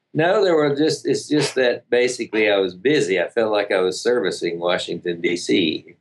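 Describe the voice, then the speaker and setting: A man with a Southern US accent at a moderate pace and very even loudness. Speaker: relationship coach and seminar leader. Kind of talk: casual interview.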